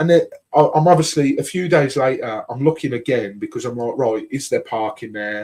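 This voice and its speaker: With a Birmingham accent, a man speaks at a fairly quick pace and a fairly high pitch. His tone is dark and mellow, with ordinary pitch variation. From Birmingham, England. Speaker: podcast host. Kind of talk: casual chat.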